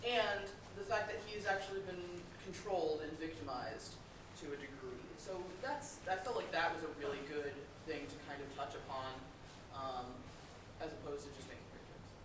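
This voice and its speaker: Over noticeable background noise, a woman speaks at a fairly quick pace with lively intonation and big swings in loudness. She leaves long, frequent pauses. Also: fairly low pitch for a woman. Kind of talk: convention panel talk.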